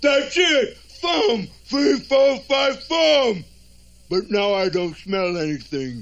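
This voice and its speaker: In a cartoonish character voice, a man speaks at a very slow pace with an extremely high pitch and very wide pitch swings. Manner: blustering, bossy.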